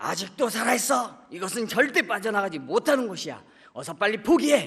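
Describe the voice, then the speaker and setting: This put-on character voice is gravelly and raised, projected, with a menacing tone at a fairly quick pace. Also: man, high pitch for a man. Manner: menacing, frightening.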